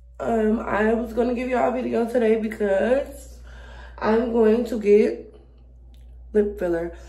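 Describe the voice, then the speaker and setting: A woman with a fairly high, somewhat breathy voice and a dark, mellow tone speaks at a fairly slow pace, leaving long, frequent pauses. Her intonation is fairly even, and audible room echo sits over a quiet background. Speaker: beauty vlogger. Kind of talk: casual vlog. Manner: casual, filler-heavy. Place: home room. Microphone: phone near.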